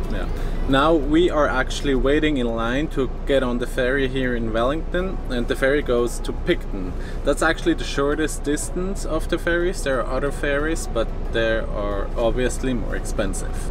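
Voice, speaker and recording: A man talks at a moderate pace. Music plays behind him, and the sound is dry with no echo. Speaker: travel vlogger. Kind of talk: casual vlog chat. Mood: upbeat, relaxed. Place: car. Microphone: phone near.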